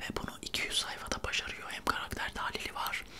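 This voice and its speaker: Over noticeable background noise, this man whispers at a moderate pace. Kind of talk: casual talk to camera, book review.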